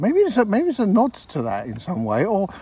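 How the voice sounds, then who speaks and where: At a moderate pace, a man is speaking. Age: 60s. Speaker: podcast co-host. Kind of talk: casual chat. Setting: outdoors.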